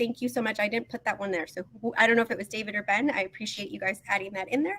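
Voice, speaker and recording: A woman's very fast, fairly high-pitched speech with ordinary pitch variation amid noticeable background noise. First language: not English. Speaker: teacher leading a book study. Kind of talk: online group session facilitation. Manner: hesitant, many fillers.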